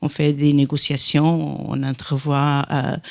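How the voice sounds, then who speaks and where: A woman with a Portuguese accent speaks very slowly in a very deep, low voice with a dark, mellow tone, on a very clean recording with a silent background. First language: Portuguese (speaking French). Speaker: industry association director. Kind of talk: panel discussion. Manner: halting, many hesitations.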